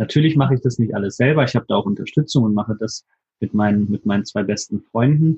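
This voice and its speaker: Speaking at a very fast pace, a man sounds somewhat breathy, with ordinary pitch variation. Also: medium pitch for a man. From Hannover, Germany. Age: 20s. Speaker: videographer and photographer. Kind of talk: interview.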